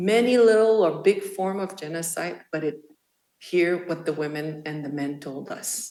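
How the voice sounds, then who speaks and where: A woman with a French-Canadian accent and a dark, mellow tone speaks at a moderate pace with ordinary pitch variation. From Quebec. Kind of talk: speech. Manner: halting.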